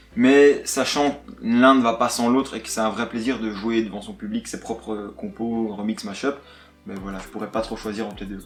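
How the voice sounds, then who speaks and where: A man at a medium pitch and moderate pace, ordinary pitch variation, big swings in loudness, music in the background. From Belgium, Luxembourg province (Virton area). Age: 20s. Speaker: DJ and music producer. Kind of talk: casual interview.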